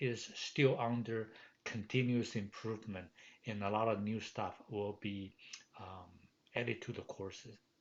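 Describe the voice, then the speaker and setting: A man at medium pitch, with a Chinese accent and a fairly slow pace. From Taiwan. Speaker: professor. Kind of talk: course welcome message. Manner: halting, many fillers.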